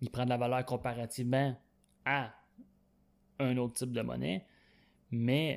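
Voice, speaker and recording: Speaking with a Quebec accent, a man keeps a medium pitch, fairly even intonation and a moderate pace. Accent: Québécois French. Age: 20s. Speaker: podcast host. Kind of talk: solo podcast monologue. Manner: halting, frequent fillers.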